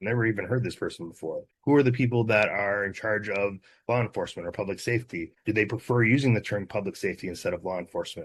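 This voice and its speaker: Very fast and with hardly any pauses, the speech shows ordinary pitch variation. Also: man, fairly low pitch for a man. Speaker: activist, movement co-founder. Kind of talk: interview conversation.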